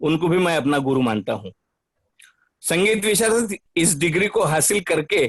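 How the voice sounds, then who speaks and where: In a dry, close sound with no echo, a man talks at a high pitch. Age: 60s. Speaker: retired bank cashier, participant. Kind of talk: prepared personal declaration. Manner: formal.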